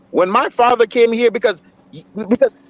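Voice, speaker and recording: A man speaks in a dry, close sound with no echo. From Haiti. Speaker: livestream commentator. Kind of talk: heated debate. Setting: live stream. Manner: animated.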